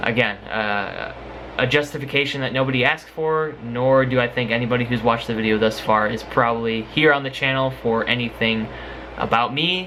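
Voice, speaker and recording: Noticeable background noise mixes with audible room echo throughout the recording. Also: man, medium pitch for a man. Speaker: YouTuber and singer doing music covers. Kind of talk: casual vlog talk to camera. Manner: halting, many fillers.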